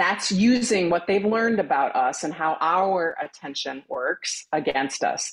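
With an unremarkable speaking voice, a woman talks at a fairly slow pace and medium pitch, her intonation lively and hardly any pauses breaking it up. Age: 50s. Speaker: brand strategist. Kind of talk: casual chat.

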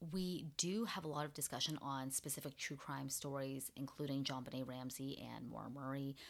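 Animated, enthusiastic speech from a woman with a very deep, low pitch, a moderate pace and hardly any pauses, on a very clean recording with a silent background. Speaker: podcast host. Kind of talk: casual podcast chat, storytelling.

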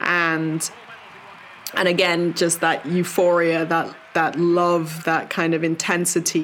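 Over noticeable background noise, a woman talks at a very slow pace in a monotone, flat intonation, her loudness very even throughout. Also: fairly low pitch for a woman. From Jamaica and UK. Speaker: Paralympic sailor. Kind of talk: interview testimony.

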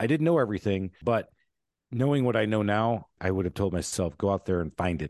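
A man with an American accent speaks fairly quickly. His intonation is lively against a quiet background. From Michigan, US. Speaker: entrepreneur and author. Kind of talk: interview.

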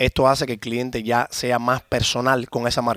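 Someone speaks with a Cuban accent in a dry, close sound with no echo. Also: man. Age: 30s. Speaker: car shop owner. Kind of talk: interview.

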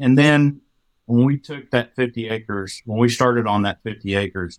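In an American accent, a man with a medium pitch talks at a moderate pace, the sound dry and close with no echo. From Texas Panhandle. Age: 40s. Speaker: farmer. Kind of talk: casual chat.

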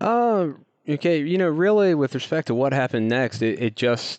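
A man's voice with lively intonation. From US South, North Carolina foothills. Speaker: startup co-founder, geoscientist. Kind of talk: interview. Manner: halting.

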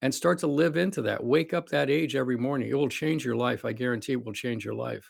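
A man at medium pitch, very fast, with vocal fry and ordinary pitch variation. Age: 60s. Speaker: cardiologist and longevity clinic founder. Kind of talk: interview conversation.

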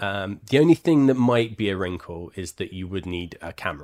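A man's fairly low voice, a plain, everyday voice, with lively intonation at a moderate pace on a very clean recording with a silent background. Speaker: board game cafe co-host. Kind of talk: casual chat.

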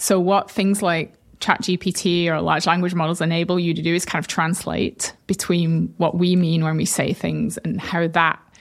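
Someone with a northern English accent speaks at a moderate pace with fairly even intonation. The recording is very clean, its background silent. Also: woman. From northern England; Bolton. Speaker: tech company co-founder and CTO. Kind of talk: casual interview.

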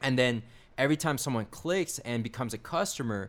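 A man talks in an ordinary speaking voice at medium pitch. His pace is fairly quick, with ordinary pitch variation. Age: 20s. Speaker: affiliate marketer and YouTuber. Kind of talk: casual chat.

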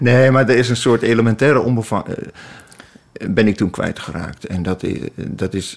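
The man has a plain, everyday voice, medium in pitch. He talks at a moderate pace with ordinary pitch variation. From Twente, eastern Netherlands. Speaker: essayist and columnist. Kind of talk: casual chat. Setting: outdoors on a bench.

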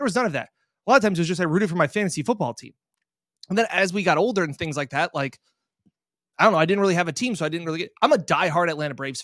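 In a very clean recording with a silent background, a man with an American accent and high pitch talks at a very fast pace with lively intonation and long, frequent pauses. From Rochester, New York. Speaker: sports reporter. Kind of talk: casual chat.

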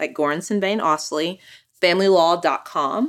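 In an American accent, a woman at medium pitch talks at a moderate pace with lively intonation in an ordinary speaking voice, on a very clean recording with a silent background. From Austin, Texas. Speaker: family lawyer. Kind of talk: casual interview.

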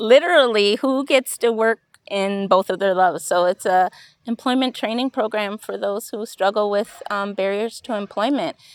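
A woman with a Wisconsin accent talks at a moderate pace with ordinary pitch variation on a very clean recording with a silent background. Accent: local Wisconsin pronunciation. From Wisconsin, Stoughton and Madison. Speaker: director of a job training bakery. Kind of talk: interview. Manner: halting, many fillers.

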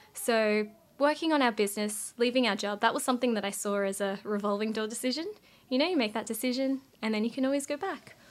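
On a very clean recording with a silent background, a woman with an Australian accent and a fairly high pitch talks at a very fast pace with ordinary pitch variation. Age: 20s. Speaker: finance content creator and entrepreneur. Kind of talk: interview podcast chat. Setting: recording at host's home.

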